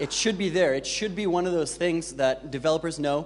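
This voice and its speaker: A man talks at a high pitch. His intonation is lively. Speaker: conference speaker, designer and developer. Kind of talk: conference talk. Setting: stage with audience. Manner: fast; hesitant, many fillers.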